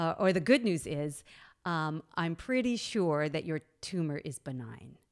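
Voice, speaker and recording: The recording is very clean, with a silent background. A woman speaks fairly slowly with lively intonation. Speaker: former radio host, cancer survivor. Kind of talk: casual interview, personal story.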